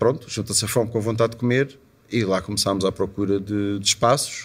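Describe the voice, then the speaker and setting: At a fairly quick pace, a man talks in an ordinary speaking voice with ordinary pitch variation. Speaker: musician and club owner. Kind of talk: interview. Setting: at his club venue.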